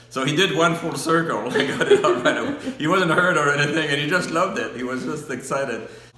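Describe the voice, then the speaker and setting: Very fast male speech with hardly any pauses, fairly high in pitch with ordinary pitch variation, amid noticeable background noise and audible room echo. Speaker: interviewee recalling the moon landing. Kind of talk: personal reminiscence.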